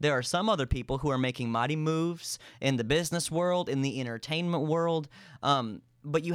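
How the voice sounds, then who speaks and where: The recording is very clean and the background silent. In it, a man talks at a moderate pace, his pitch varying in an ordinary way. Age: 20s. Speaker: youth and worship pastor. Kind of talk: casual interview chat. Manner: loud, animated.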